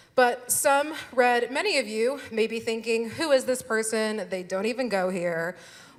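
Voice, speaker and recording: A woman with an American accent speaks with lively intonation against noticeable background noise. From Texas. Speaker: lawyer, keynote speaker. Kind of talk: keynote speech. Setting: stage with audience.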